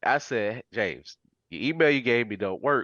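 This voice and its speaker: Here a man of medium pitch speaks with vocal fry and very wide pitch swings. The sound is dry and close with no echo, against a quiet background. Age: 40s. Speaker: podcaster and comic vendor. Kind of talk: casual interview chat. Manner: animated storytelling.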